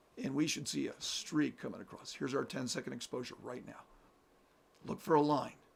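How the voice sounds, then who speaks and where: This man speaks at a fairly quick pace with a fairly high pitch, ordinary pitch variation and vocal fry. His loudness swings a lot. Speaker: amateur astronomer streamer. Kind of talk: live stream commentary.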